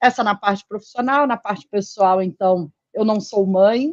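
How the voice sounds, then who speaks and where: Heard dry and close with no echo, a woman with a Rio de Janeiro accent speaks at a medium pitch with ordinary pitch variation. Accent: carioca. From Rio de Janeiro, Brazil. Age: 40s. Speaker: physician and former pharma executive. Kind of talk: interview. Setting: live stream.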